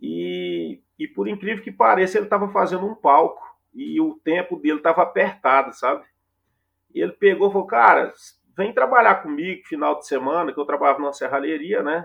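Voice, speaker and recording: A man at a moderate pace. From Goiás, Brazil (interior). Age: 40s. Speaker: music tour producer. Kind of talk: casual interview.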